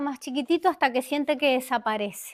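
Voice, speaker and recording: On a very clean recording with a silent background, a woman talks at a fairly quick pace in a high pitch with ordinary pitch variation. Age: 60s. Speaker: executive coach and conference speaker. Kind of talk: conference talk. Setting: stage with audience. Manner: conversational, engaging audience with questions.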